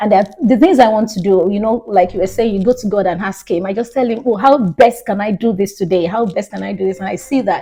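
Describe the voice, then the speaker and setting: A somewhat breathy, dark, mellow voice with a Nigerian accent, at a fairly quick pace with ordinary pitch variation. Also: woman. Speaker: minister and recruiter. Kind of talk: casual interview.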